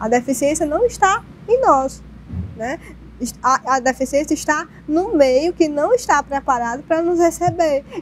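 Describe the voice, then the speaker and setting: Pausing long and often, a woman speaks with a high pitch and lively intonation over light background noise. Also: fairly slow pace. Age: 30s. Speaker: social worker; guest. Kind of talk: panel discussion. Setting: TV studio. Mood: earnest, reflective. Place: studio. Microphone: lapel.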